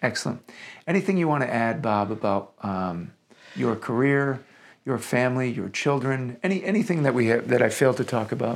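An unremarkable speaking voice moves at a fairly quick pace with lively intonation on a very clean recording with a silent background. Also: man, medium pitch for a man. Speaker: podcast host. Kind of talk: interview conversation.

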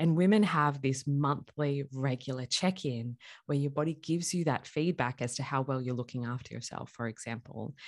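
A woman with an Australian accent, very deep and low in pitch, with ordinary pitch variation at a moderate pace, on a very clean recording with a silent background. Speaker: chiropractor. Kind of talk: interview.

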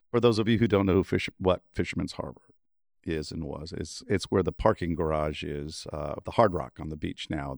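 This man's very deep, low voice carries vocal fry and ordinary pitch variation, moving at a fairly quick pace with big swings in loudness in a dry, close sound with no echo. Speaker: podcast co-host and musician. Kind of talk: casual interview chat.

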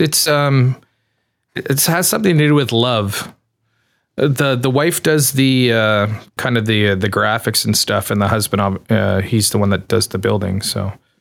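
A man with a normal speaking voice and a Canadian accent, medium in pitch with ordinary variation, very even in loudness, at a moderate pace. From Canada. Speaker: pedal enclosure maker. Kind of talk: interview.

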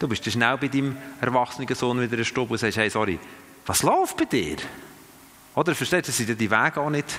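The pace is fairly quick and the pitch varies in an ordinary way, with noticeable background noise. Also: man. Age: 50s. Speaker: missionary and church trainer. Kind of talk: teaching talk to a group. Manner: halting, many fillers and restarts.

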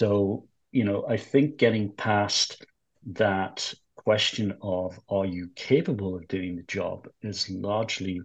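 The voice belongs to a man with a fairly low pitch and a somewhat breathy quality. His intonation stays fairly even. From England. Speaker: finance executive. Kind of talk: interview. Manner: hesitant, many fillers.

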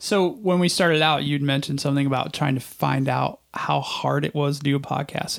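A man with an ordinary speaking voice and a fairly high pitch, on a very clean recording with a silent background. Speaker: podcast host. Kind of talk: casual interview. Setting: studio.

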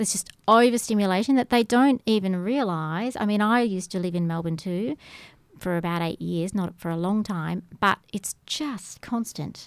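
With an Australian accent, a woman speaks at a moderate pace and ordinary pitch variation. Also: medium pitch for a woman. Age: 50s. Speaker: yoga instructor. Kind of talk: radio interview. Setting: radio studio.

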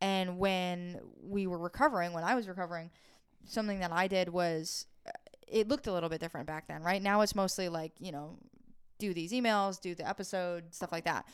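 On a very clean recording with a silent background, a woman in an unremarkable speaking voice talks at a fairly quick pace, medium in pitch with ordinary pitch variation. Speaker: PTSD recovery coach. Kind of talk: casual chat. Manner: laughs often.

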